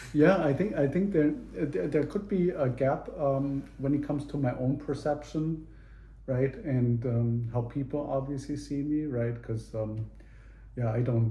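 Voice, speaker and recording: A man with a slight German accent speaks fairly slowly in a dark, mellow, somewhat breathy voice. Room echo is audible. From Germany (Munich). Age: 50s. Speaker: interviewee, father. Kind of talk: casual interview. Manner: halting, many fillers and repeats.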